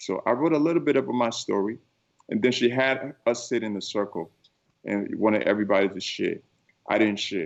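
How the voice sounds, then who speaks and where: The speaker talks at a fairly quick pace with a Liberian accent and ordinary pitch variation. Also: man, medium pitch for a man. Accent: West African (Liberian). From Liberia, West Africa. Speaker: keynote speaker. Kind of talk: interview. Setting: studio.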